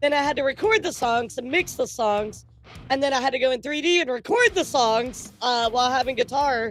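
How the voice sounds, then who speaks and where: With music in the background, a woman talks at a fairly quick pace in a high pitch. Her tone is animated, with ordinary pitch variation. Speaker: vtuber streamer. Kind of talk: casual chat.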